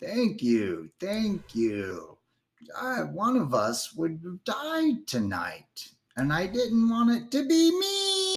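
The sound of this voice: A raspy, put-on character voice pitched fairly high, delivered at a very slow pace.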